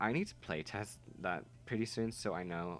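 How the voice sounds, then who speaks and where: Lively intonation carries the speech over music in the background. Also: man. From Netherlands. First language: Dutch. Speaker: gaming YouTuber. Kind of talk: gameplay voiceover. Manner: casual, halting.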